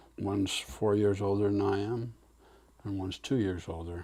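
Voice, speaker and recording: With an American accent, a man speaks in a fairly low, somewhat breathy voice with a dark, mellow tone and flat, monotone intonation. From Utah, US. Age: 70s. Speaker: elderly family member telling life story. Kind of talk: family oral history interview. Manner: halting, many fillers.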